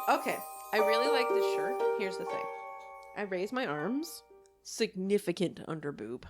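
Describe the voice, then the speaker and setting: A woman speaks with music playing behind her. Her speech has long, frequent pauses. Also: moderate pace. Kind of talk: casual podcast conversation.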